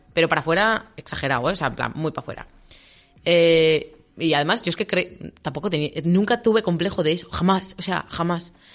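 Her pitch fairly low and varying in an ordinary way, the woman talks at a fairly quick pace. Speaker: radio co-host. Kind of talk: casual chat. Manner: fast.

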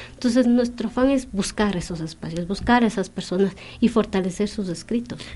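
A woman with a fairly high pitch, a somewhat breathy, dark, mellow tone and ordinary pitch variation. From Ecuadorian Andes, Kichwa community. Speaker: poet. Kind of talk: radio interview.

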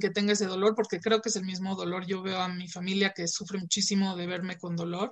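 A woman speaks with a Mexican accent. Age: 30s. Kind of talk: interview.

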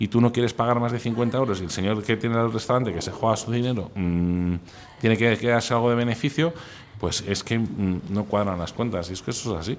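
Normal pitch variation from a man, set against noticeable background noise. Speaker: food instagrammer. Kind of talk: interview. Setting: restaurant. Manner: animated; fast.

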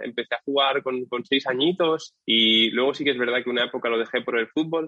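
A man has an ordinary speaking voice, medium in pitch, with ordinary pitch variation and a fairly quick pace. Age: 20s. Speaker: SEO agency founder. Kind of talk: interview.

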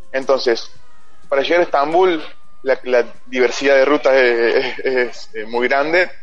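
A man with a fairly high pitch speaks at a fairly slow pace against noticeable background noise. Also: ordinary pitch variation. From Argentina, Río Cuarto (Córdoba). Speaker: cycle traveler. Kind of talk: radio interview.

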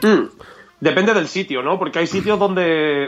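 The voice has a bright, sharp tone, a fairly quick pace and ordinary pitch variation. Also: man. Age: 30s. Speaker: podcast co-host. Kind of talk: casual chat.

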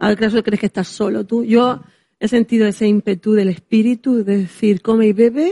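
Somewhat breathy and dark, mellow in tone, a woman with a fairly high pitch speaks at a moderate pace with fairly even intonation and very even loudness, the sound dry and close with no echo. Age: 40s. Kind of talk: casual chat.

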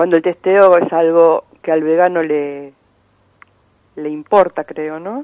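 At a very slow pace, a woman with a fairly low pitch and fairly even intonation speaks with long, frequent pauses and big swings in loudness. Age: 60s. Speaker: animal welfare activist. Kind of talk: phone interview.

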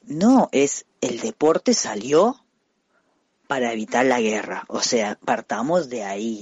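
A man at a very slow pace with lively intonation. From Costa Rica. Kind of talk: interview.

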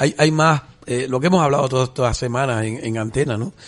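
A medium-pitched man speaks with ordinary pitch variation at a moderate pace as noticeable background noise runs underneath. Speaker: radio host. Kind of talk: radio talk show. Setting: studio.

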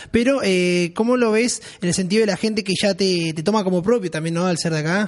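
An animated man's voice, high-pitched and fairly quick, with ordinary pitch variation and noticeable background noise. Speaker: radio podcast host. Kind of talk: casual chat. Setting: studio.

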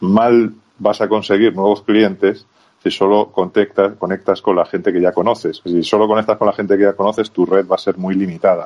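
Fairly low in pitch, a man speaks in a flat monotone at a very even loudness. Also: moderate pace. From Spain, rural Zamora (Castile and León). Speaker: sales consultant and lecturer. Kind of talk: interview.

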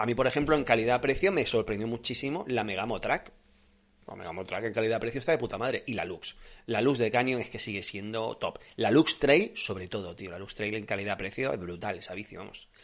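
Medium pitch from a man at a fairly quick pace, ordinary pitch variation, big swings in loudness, and a quiet background. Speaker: cycling podcast host. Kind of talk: live stream Q&A chat. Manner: animated.

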